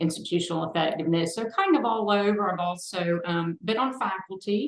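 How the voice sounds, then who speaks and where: The woman has an ordinary speaking voice, medium pitch and ordinary pitch variation. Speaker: higher education assessment specialist. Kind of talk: panel discussion.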